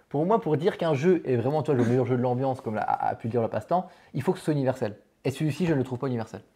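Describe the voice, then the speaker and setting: Very fast, lively speech from a man with a fairly high pitch and a dark, mellow tone, on a very clean recording with a silent background. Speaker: board game channel host. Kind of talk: casual chat. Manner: loud.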